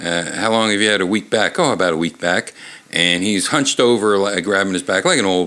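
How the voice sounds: The clip carries a natural reading voice. Nothing else stands out.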